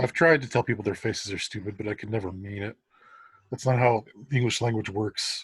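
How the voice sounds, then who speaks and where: In a dry, close sound with no echo and a very clean recording with a silent background, a man speaks very fast, somewhat breathy, at a fairly low pitch with fairly even intonation. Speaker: fanfiction author, podcast co-host. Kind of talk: casual chat.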